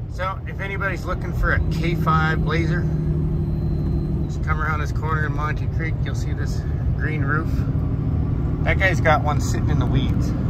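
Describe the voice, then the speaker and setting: Long, frequent pauses break up a man's speech over loud background noise. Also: moderate pace. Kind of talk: casual vlog chat. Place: car. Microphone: phone near.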